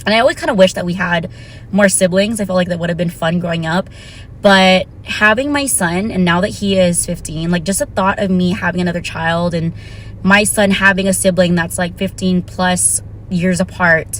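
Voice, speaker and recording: A woman speaks at a medium pitch with noticeable background noise behind her. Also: ordinary pitch variation, moderate pace. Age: 30s. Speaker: vlogger. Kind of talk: casual vlog monologue. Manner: casual, conversational.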